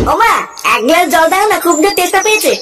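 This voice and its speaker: A cartoonish character voice at a fairly quick pace, with clear background noise. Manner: whiny, self-pitying.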